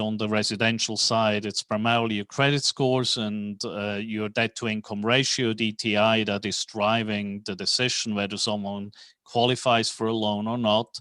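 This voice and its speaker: A bright, sharp tone in a Swiss accent, monotone and flat, at a moderate pace with hardly any pauses. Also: man. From Switzerland. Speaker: real estate financing executive. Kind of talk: podcast interview.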